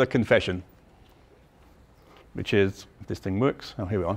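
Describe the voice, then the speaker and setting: A man with a London accent, at a moderate pace. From London, England. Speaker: mathematics professor. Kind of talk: lecture.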